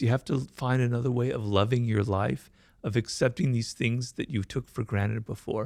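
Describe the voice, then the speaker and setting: Recorded very cleanly against a silent background, the sound is dry and close with no echo. A man speaks at a medium pitch and a moderate pace. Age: 60s. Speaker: writer, stroke survivor. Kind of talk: interview testimony. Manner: halting, with repetitions.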